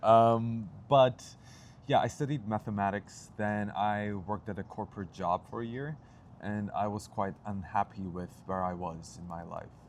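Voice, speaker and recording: With ordinary pitch variation, a man speaks at a fairly slow pace and a fairly low pitch. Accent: Turkish. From Turkey. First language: Turkish. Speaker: actor and playwright. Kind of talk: interview.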